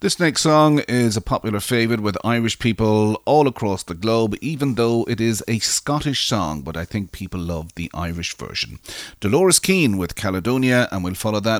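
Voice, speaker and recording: A man speaks at a moderate pace with a medium pitch, lively intonation and a plain, everyday voice, recorded very cleanly with a silent background and a dry, close sound with no echo. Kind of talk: radio DJ patter introducing songs, with repeated show tagline. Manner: smooth, warm, steady presenter delivery with brisk song-intro rhythm.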